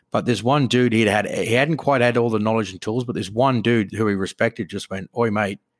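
With an Australian accent, a man talks at a very fast pace and fairly even intonation on a very clean, silent recording with a dry, close sound and no echo. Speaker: podcast co-host. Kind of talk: casual chat.

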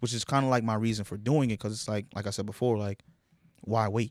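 An ordinary speaking voice from a man, at a fairly quick pace with fairly even intonation. The recording is very clean, with a silent background. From New York. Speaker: rapper. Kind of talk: casual chat.

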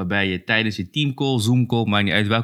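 A man with a fairly low pitch and ordinary pitch variation has an unremarkable speaking voice. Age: 30s. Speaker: UX designer. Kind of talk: casual chat.

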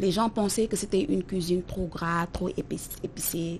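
A woman speaks at a fairly slow pace with a medium pitch and ordinary pitch variation. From Senegal, Dakar. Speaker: chef. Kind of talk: interview.

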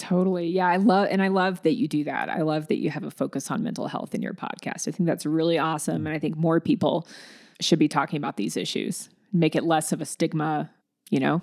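A woman with an American accent talks at a very fast pace, fairly low in pitch with vocal fry and ordinary pitch variation. The recording is very clean, with a silent background. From US South, Alabama. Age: 40s. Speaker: singer-songwriter. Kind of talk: interview.

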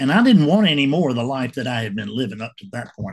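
This man's medium-pitched voice is somewhat breathy, with lively intonation. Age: 70s. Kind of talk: casual monologue to camera. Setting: home video recording. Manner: halting.

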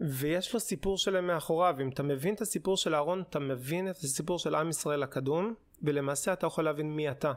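In a normal speaking voice, a man talks at a fairly quick pace with hardly any pauses, a fairly high pitch, ordinary pitch variation and very even loudness, in a very clean recording with a silent background. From Israel, religious community. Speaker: podcast co-host, doctoral student in archaeology. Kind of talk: casual chat; explaining history.

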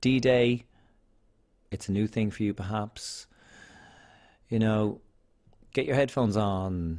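In an Irish accent, a man speaks at a very slow pace with a fairly low pitch and ordinary pitch variation. The recording is very clean, the background silent. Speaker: podcast host, single parent. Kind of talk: casual monologue. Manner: rambling, conversational.

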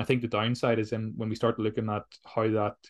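With an unremarkable speaking voice, a man of medium pitch talks at a fairly quick pace in a dry, close sound with no echo. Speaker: podcast host. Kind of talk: interview chat.

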